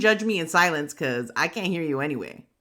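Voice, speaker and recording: A woman with a New York accent speaks at a fairly quick pace in an animated tone with very wide pitch swings, on a very clean recording with a silent background. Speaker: craft channel host. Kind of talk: tutorial.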